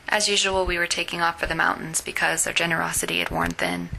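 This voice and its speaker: Whispering at a fairly quick pace, a woman is heard. Background noise is noticeable. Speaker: fiction writer. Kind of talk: reading her own short story.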